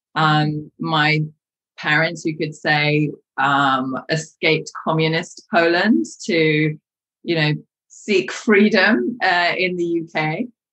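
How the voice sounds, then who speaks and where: Her very deep, low voice moves at a very slow pace, and this woman uses ordinary pitch variation. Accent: London. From London, England. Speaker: coach. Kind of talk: interview conversation. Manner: hesitant, many fillers.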